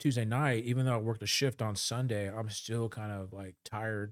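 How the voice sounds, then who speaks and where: At a fairly quick pace, a man with a medium pitch speaks with fairly even intonation on a very clean recording with a silent background. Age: 50s. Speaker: healthcare worker. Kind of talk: casual chat. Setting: studio. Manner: halting.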